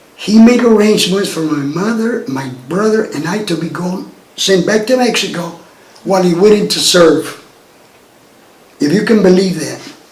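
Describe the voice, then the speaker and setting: In an American accent, a man with a high pitch speaks with long, frequent pauses, amid audible room echo and noticeable background noise. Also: ordinary pitch variation, moderate pace. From Texas, New Braunfels. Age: 70s. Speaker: retired lab technologist. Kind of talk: oral history interview.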